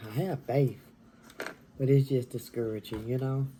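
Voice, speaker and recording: Whispering, a woman speaks at a fairly slow pace. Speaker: mukbang vlogger. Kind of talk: casual chat.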